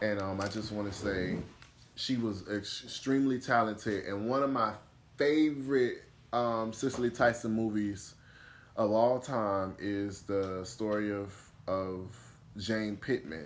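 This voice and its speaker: A man talks at a fairly slow pace in a fairly low pitch with ordinary pitch variation and a normal speaking voice. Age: 20s. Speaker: podcast host. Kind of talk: casual chat.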